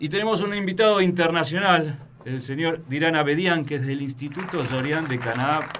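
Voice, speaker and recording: A man's fairly high voice at a moderate pace, with ordinary pitch variation, audible room echo and crowd noise in the background. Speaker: radio host. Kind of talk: casual chat.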